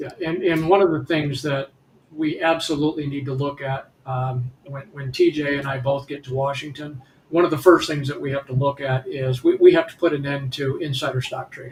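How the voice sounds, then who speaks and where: Over noticeable background noise, a man speaks at a fairly high pitch in a monotone, flat intonation with big swings in loudness. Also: moderate pace. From Detroit, Michigan. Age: 60s. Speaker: congressional candidate. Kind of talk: political talk show discussion. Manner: halting, many repetitions and fillers.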